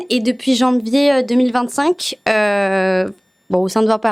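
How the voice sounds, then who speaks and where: A woman at a fairly high pitch and moderate pace, with ordinary pitch variation, in a very clean recording with a silent background. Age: 20s. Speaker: journalism student, newspaper reader. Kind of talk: asking questions in an interview. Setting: video studio. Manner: hesitant, many fillers.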